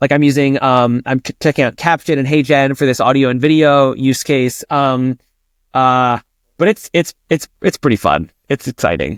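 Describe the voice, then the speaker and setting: The sound is dry and close with no echo as a man speaks at medium pitch with ordinary pitch variation. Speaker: tech startup CEO. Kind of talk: podcast interview. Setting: remote podcast recording. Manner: animated, energetic; fast with frequent false starts.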